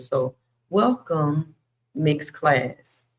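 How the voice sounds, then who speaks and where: This woman's voice sits very deep. Her pitch is low for a woman. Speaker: bible study host. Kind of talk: live bible study. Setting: livestream. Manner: loud. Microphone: cuts in and out if too quiet; Wi-Fi issues.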